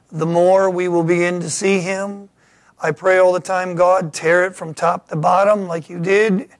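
Over a quiet background, a man with a high-pitched voice talks at a fairly slow pace. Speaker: pastor. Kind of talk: sermon. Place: church.

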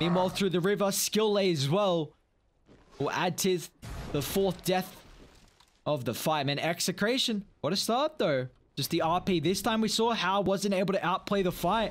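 A man talks in a high pitch with ordinary pitch variation. His loudness stays very even at a moderate pace. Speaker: esports caster. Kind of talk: live esports commentary.

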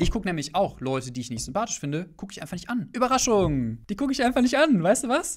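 A man's speech moves fairly quickly, his pitch swinging very widely over a quiet background. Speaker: perfume streamer. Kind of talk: casual livestream commentary. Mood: candid, slightly sarcastic. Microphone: studio mic.

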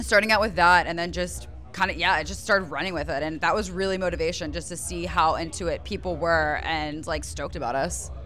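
A woman talks at a moderate pace over faint music in the background. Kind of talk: interview answer. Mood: cheerful, laughing at times. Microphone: handheld.

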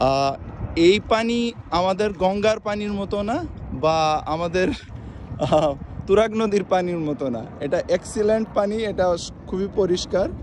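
With lively intonation and a high pitch, a man speaks over light background noise in a dry sound with no echo. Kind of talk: casual vlog chat. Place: waterside. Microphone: phone near.

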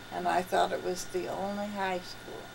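The speaker talks at a moderate pace with vocal fry and little pitch movement, over clear background noise. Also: woman, fairly low pitch for a woman.

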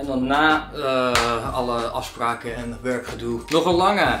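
With ordinary pitch variation, a man speaks at a very slow pace against noticeable background noise. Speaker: runner vlogger. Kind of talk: casual vlog chat. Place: home room.

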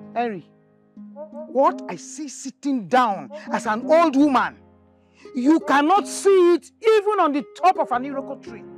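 Over clear background music, a woman with a high pitch speaks at a fairly slow pace with long, frequent pauses and big swings in loudness, the sound dry with no echo. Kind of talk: acted drama dialogue on a phone call. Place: garden.

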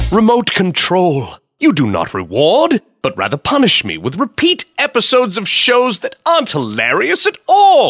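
Speech at a moderate pace with a dry, close sound and no echo. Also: man. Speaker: voice actor.

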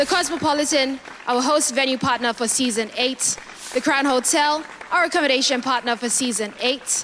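Crowd noise fills the background as a woman speaks at a moderate pace. Her pitch is high, with ordinary variation. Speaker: TV show host. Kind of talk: show hosting announcement. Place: stage. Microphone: handheld.

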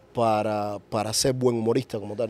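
A man's dark, mellow tone at a fairly slow pace, dry sound with no echo. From Cuba. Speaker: podcast host. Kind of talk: interview. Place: studio. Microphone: studio mic.

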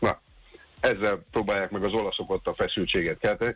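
The speech moves at a fairly quick pace over faint music in the background. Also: man. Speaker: sports commentator. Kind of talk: casual sports chat. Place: studio.

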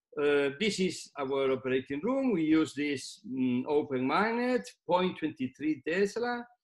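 The voice moves at a very slow pace with hardly any pauses and very wide pitch swings, set against a quiet background. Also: man, fairly high pitch for a man. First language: Spanish. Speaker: neurosurgeon; presenter. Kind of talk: lecture. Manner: halting. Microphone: webcam.

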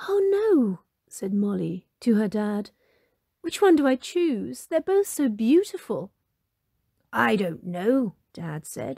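In a gentle, warm tone, a woman speaks at a very slow pace with long, frequent pauses, in a dry, close sound with no echo. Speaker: storybook narrator. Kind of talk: fairy-tale narration, storybook reading aloud. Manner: gentle, warm and animated, with a storyteller's lilt; clear, unhurried pacing, voicing Molly, mum, dad and fairy.

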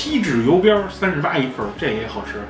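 A man speaks fairly quickly while music plays clearly behind him. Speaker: food reviewer. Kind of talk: casual vlog chat. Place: cafe.

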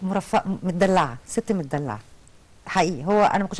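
The speaker is a woman with a mid-range pitch. Her voice rises and falls in an ordinary way. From Egypt. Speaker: insurance company deputy manager and mother; interview guest. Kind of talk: TV talk show interview. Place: studio. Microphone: lapel.

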